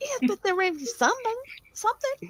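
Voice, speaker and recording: A woman's put-on character voice, squeaky and extremely high-pitched, at a fairly quick pace. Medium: actual play. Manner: sassy, quick.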